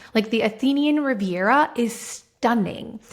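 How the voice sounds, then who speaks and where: A woman sounds animated and somewhat breathy, her voice fairly high in pitch. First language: Spanish. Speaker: marketing executive and entrepreneur. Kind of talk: interview conversation.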